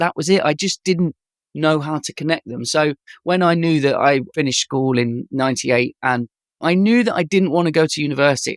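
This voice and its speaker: Speaking at a fairly quick pace, a man uses a fairly high pitch with ordinary pitch variation. The recording is very clean with a silent background and a dry, close sound with no echo. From East Midlands, England (Leicester). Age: 40s. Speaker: animation director and designer. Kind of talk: podcast interview.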